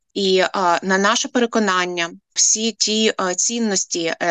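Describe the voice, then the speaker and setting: In an unremarkable speaking voice, a woman talks at a medium pitch with fairly even intonation. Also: dry, close sound with no echo. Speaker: head of a nonprofit for families of prisoners of war. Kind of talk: radio interview.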